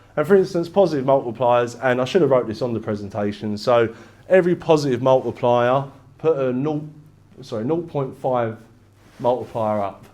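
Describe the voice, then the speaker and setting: Heard with audible room echo, a man in an East London accent speaks at a moderate pace. His medium-pitched voice is dark and mellow, with ordinary pitch variation. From England, East London. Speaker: business broker. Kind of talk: presentation. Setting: stage with audience. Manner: casual, conversational.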